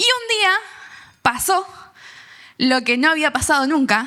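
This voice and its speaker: In an Argentine accent, a woman with a bright, sharp tone and a raised, projected voice speaks high and fairly slowly, with very wide pitch swings. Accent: Rioplatense Argentine Spanish. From Argentina, San Nicolás de los Arroyos (Buenos Aires province). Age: 30s. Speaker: youth speaker giving testimony. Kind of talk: testimony.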